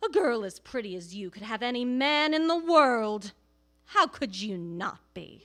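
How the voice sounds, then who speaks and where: In a put-on character voice, a woman growls at a moderate pace, her high pitch swinging very widely. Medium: read story. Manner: harsh, barking, snarling.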